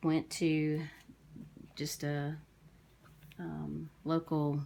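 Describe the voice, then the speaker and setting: Mumbling at a very slow pace, a woman speaks with a very deep, low pitch and a dark, mellow tone. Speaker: crafter. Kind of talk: casual talk to camera.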